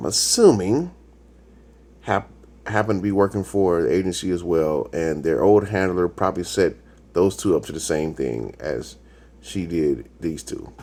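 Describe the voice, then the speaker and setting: A man's very deep, low voice in a dark, mellow tone, with ordinary pitch variation. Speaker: YouTube TV reaction reviewer. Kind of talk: casual solo commentary. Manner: sometimes fast, stumbling; halting, searches for words.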